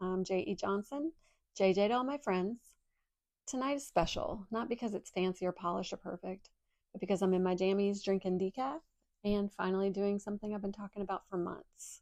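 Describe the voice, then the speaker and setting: Speaking at a fairly quick pace, a woman has an unremarkable speaking voice. Her pitch is medium, with ordinary variation. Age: 50s. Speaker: podcast host and indie author. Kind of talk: casual personal monologue. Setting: at home in pajamas.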